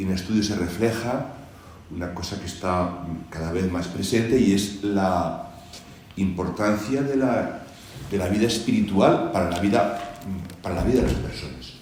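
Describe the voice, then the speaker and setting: Pausing long and often, a man talks at a moderate pace in a fairly low pitch with ordinary pitch variation, amid noticeable background noise and audible room echo. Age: 60s. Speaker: church charity representative. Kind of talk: panel discussion. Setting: presentation hall with audience.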